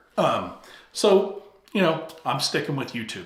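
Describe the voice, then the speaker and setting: A man speaks at a moderate pace over noticeable background noise, with audible echo in the room. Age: 50s. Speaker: YouTube coach. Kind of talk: talking-head tutorial. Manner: casual, animated.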